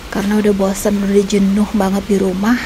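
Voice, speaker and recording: Over noticeable background noise, a woman at medium pitch speaks at a fairly quick pace with monotone, flat intonation. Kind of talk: casual vlog talk to camera. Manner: whispery, quiet.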